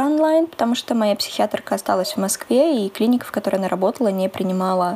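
A woman's very fast, lively delivery at a fairly high pitch. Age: 20s. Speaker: psychology student and podcast co-host. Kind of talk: casual chat.

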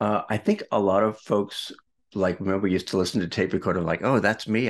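Against a quiet background, a man with a Boston accent speaks at a very fast pace. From Boston, US Northeast. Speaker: video marketing mentor and broadcaster. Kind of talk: casual interview conversation.

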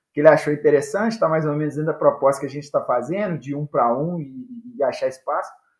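A man talks at a very fast pace with hardly any pauses. His fairly high voice has lively intonation. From Brazil, Minas Gerais (Viçosa). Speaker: futsal coach and author. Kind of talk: casual interview. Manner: halting, repeats words.

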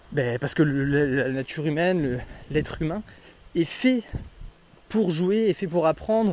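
Lively intonation marks this man's fairly high-pitched voice. His pace is fairly slow. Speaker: podcaster and trail runner. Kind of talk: solo monologue podcast. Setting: outdoors on a walk. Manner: hesitant, many fillers; casual, conversational.

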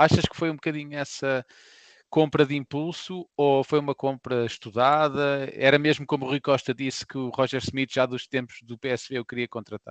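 A man's fairly high voice, dry and close with no echo, at a moderate pace in a flat monotone, over a quiet background. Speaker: football podcast co-host. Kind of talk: casual chat.

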